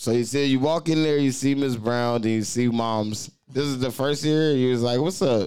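A man at a medium pitch with an animated tone, a moderate pace, hardly any pauses, very even loudness and ordinary pitch variation. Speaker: podcast host. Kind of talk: casual chat. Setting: studio. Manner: animated, loud.

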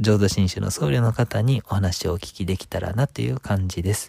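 A man speaks fairly quickly in a fairly low, somewhat breathy voice with a dark, mellow tone. His intonation is lively, and the sound is dry and close with no echo. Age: 30s. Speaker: Buddhist priest and radio interviewer. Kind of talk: podcast introduction monologue. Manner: polite.

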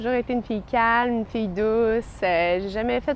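A fairly high-pitched woman at a moderate pace, an unremarkable speaking voice. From Quebec City. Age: 20s. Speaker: young churchgoer giving a faith testimony. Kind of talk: testimony.

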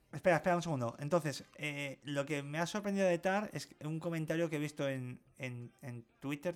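Using an ordinary speaking voice, a man keeps a moderate pace and shows ordinary pitch variation. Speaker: podcast co-host. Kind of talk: casual chat.

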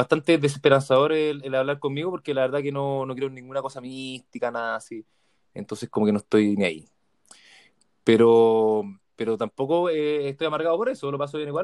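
At a fairly quick pace, a man with a Chilean accent speaks at a medium pitch with lively intonation in a dry, close sound with no echo. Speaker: podcast host. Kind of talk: casual chat.

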